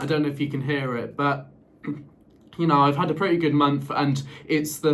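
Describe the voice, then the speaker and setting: A man speaks at a moderate pace amid audible room echo and noticeable background noise. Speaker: vlogger. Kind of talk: casual vlog talk. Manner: halting, repeats words and fillers.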